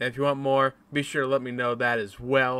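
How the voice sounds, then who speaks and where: The speaker is male. He sounds bright and sharp. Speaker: YouTuber. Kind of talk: casual reaction vlog chat. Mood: laughing in places. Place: home room. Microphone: webcam.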